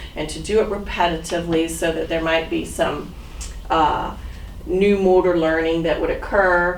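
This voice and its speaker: A woman speaks at a fairly low pitch with fairly even intonation. Noticeable background noise and audible room echo are present. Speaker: physical therapist training volunteers. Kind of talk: training talk. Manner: loud; casual.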